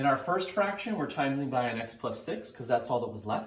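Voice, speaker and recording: There is audible room echo as a man talks. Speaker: math teacher. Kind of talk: tutorial. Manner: fast; casual, conversational.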